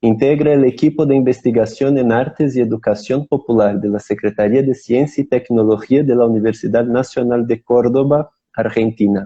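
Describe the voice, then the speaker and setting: With a Portuguese accent, a man talks at a moderate pace and medium pitch, leaving hardly any pauses. His intonation is fairly even and his loudness very even. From Brazil. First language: Portuguese (speaking Spanish). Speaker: theatre company member hosting online talk show. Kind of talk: live-streamed interview introduction. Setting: Instagram live stream. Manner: halting, repeats words.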